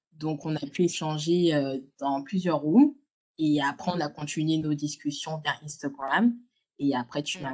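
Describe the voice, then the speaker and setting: Delivered at a fairly slow pace, the speech has ordinary pitch variation and big swings in loudness. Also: woman. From France, Lyon. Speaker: podcaster, content creator. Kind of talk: casual chat. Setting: video call.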